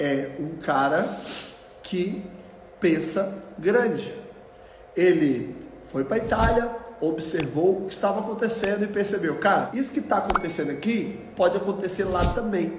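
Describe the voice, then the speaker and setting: A man with a Brazilian accent speaks in an animated tone at a high pitch, with ordinary pitch variation and a fairly slow pace full of long, frequent pauses. Audible room echo and light background noise fill the recording. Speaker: motivational YouTuber. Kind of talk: motivational talk. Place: home room.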